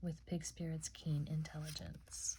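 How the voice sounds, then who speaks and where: A woman speaks in a calm tone and is soft-spoken. Her pace is moderate. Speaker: ASMR oracle card reader. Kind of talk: oracle card reading. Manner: soft-spoken, calm.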